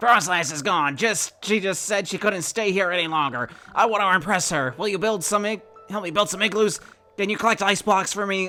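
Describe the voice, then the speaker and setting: Over faint background music, a man does a put-on character voice, raised and projected, high-pitched and at a fairly quick pace. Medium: game stream.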